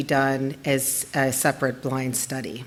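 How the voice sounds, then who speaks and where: A woman's very deep, low voice comes out shaky. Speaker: lab scientist presenting research. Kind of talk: conference presentation. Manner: shaky voice.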